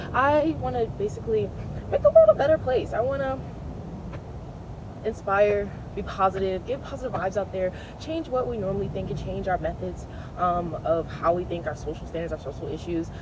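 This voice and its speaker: Woman at a fairly quick pace with long, frequent pauses and noticeable background noise. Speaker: vlogger. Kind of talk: casual vlog monologue. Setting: outdoors. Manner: fast.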